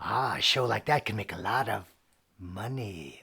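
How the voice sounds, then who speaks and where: In a very clean recording with a silent background, a man puts on a playful character voice. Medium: stage play. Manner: playful, punning, eerie.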